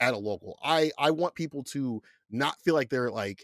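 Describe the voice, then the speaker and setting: In a dry, close recording with no echo, a man speaks at a medium pitch in an animated tone with ordinary pitch variation. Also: very clean recording, silent background. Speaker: fighting game commentator. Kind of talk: interview. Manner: loud.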